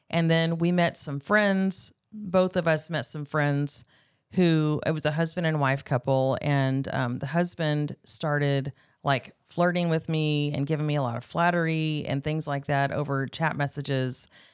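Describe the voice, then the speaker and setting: In a very clean recording with a silent background, a woman with an American accent speaks fairly slowly in a very deep, low pitch with fairly even intonation. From California, Bakersfield countryside. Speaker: guest sharing personal testimony. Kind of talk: testimony.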